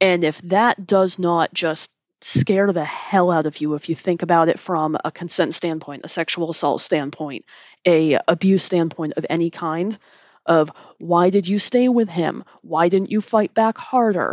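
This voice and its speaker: This woman has an ordinary speaking voice, fairly low in pitch with ordinary pitch variation, and she talks at a fairly slow pace. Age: 30s. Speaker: podcast host. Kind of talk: solo commentary.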